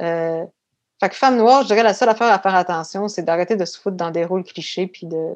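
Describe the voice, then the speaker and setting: A woman at a medium pitch and a very fast pace, with ordinary pitch variation and big swings in loudness, over a quiet background. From Quebec City suburbs (Beauport), Quebec. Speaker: actress and artistic career coach. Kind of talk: casual interview.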